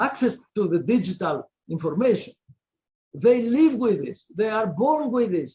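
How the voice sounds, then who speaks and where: A man with a Greek accent speaks at a high pitch, his tone dark and mellow and his intonation lively. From Greece. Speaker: law professor. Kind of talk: panel discussion. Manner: halting; animated.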